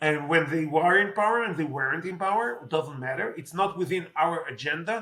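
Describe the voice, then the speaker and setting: With an Israeli accent, a man speaks at a high pitch and a fairly quick pace. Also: ordinary pitch variation. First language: Hebrew. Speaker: politician. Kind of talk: interview. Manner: halting, many fillers.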